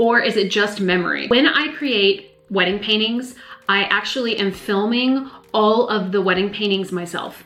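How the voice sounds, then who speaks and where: A moderate pace with an American accent, plus audible room echo and noticeable background noise. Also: woman. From US South, north Georgia Appalachians. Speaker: live wedding painter. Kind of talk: casual Q&A monologue.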